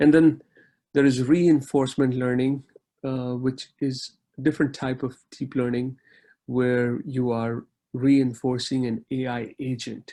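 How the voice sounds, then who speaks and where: A man with a dark, mellow tone and medium pitch speaks at a fairly slow pace in a monotone, flat intonation. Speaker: tech conference speaker. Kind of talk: lecture.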